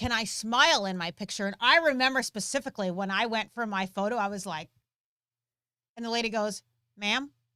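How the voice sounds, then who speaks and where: A woman speaks loudly and at a fairly quick pace, her bright, sharp tone set at a fairly high pitch with ordinary pitch variation, in a very clean recording with a silent background. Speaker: gun training channel co-host. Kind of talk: live stream Q&A chat. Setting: live stream.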